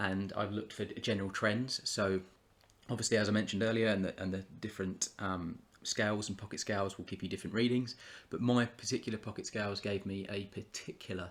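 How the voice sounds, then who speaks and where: On a very clean recording with a silent background, a man with a British accent talks at a very fast pace. His fairly low pitch stays in a monotone, flat intonation. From UK. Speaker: YouTuber, trading card collector. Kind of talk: casual vlog commentary. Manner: halting, many fillers and repetitions.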